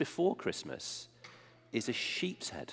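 The voice carries an English accent. Its pace is fairly slow. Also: man. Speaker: preacher. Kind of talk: sermon. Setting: church. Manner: conversational, engages the congregation.

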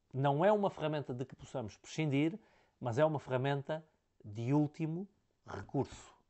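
Over a quiet background, a man with a fairly high pitch talks at a fairly quick pace. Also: long, frequent pauses, big swings in loudness. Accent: European Portuguese. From Portugal. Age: 40s. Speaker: business consultant; leadership coach. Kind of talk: talking-head lecture. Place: office. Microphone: lapel.

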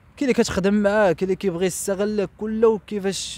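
A man talks at a fairly quick pace in a high pitch, the sound dry with no echo. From Morocco. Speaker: interviewee telling life story; interviewee. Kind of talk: testimony. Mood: somber, reflective. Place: street. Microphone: handheld.

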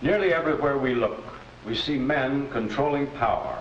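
Noticeable background noise sits behind a man talking in a medium pitch. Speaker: judge. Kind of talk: vintage educational film, courtroom drama. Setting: courtroom. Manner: formal, measured, authoritative, fatherly.

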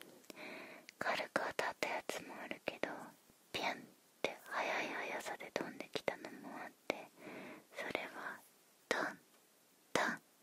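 A woman whispers at a very slow pace, the sound dry with no echo. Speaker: ASMR creator. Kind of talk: soft ASMR role-play talk. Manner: close intimate ASMR whisper. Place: home room. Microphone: studio mic.

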